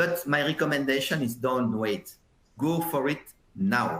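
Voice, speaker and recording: This is a man with a fairly high pitch. He speaks with a French accent. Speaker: software industry consultant, webinar presenter. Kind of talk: webinar presentation. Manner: hesitant, many fillers and repetitions.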